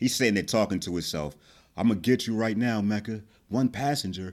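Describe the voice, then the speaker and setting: With an American accent, a man talks at a fairly quick pace in a normal speaking voice at medium pitch. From New Jersey. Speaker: podcast host. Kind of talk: casual chat. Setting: remote audio call.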